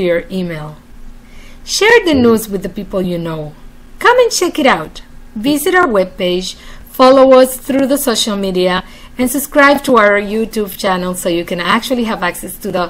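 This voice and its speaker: A woman speaks with lively intonation, keeping a moderate pace. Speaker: emotional support host. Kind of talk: promotional direct address. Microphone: webcam.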